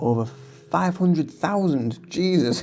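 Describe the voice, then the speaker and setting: A dark, mellow tone at a fairly slow pace, with ordinary pitch variation and audible room echo. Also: man. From northern England, County Durham. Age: 40s. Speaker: artist and reiki content creator. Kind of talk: casual livestream chat. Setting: live stream while painting. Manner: relaxed, with fillers and repetitions.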